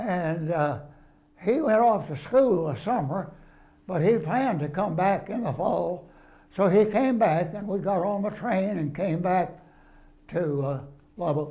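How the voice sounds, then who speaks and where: Speaking fairly slowly in a Texan accent, a man with a high pitch and a dark, mellow tone uses lively intonation. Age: 80s+. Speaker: retired preacher. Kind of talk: interview answer.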